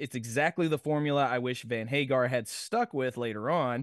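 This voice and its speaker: Recorded with a dry, close sound with no echo and a quiet background, a man with an American accent and an unremarkable speaking voice talks at a moderate pace and a medium pitch. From Nashville, Tennessee, US South. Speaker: podcast co-host. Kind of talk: casual chat.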